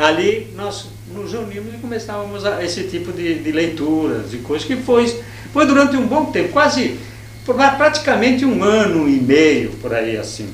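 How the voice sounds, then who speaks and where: Male speech at a middling speed, set against noticeable background noise and audible echo from the room. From Brazil, São Paulo state (Jundiaí, São Paulo city). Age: 60s. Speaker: anarchist activist. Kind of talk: interview. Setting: university archive room. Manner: halting, many self-corrections.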